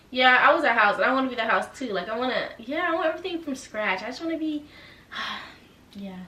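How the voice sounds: A woman speaks with a bright, sharp tone at a fairly high pitch, her intonation lively. The pace is fairly quick, and the room echo is audible.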